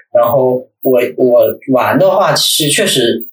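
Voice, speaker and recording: The man's voice sits at a medium pitch. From Northeast China. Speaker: guest, former university student in the city. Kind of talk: casual chat.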